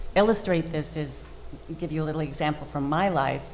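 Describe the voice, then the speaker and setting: Recorded with audible room echo, a woman talks with a General American accent. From Colorado. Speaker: speech language pathologist. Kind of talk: panel discussion.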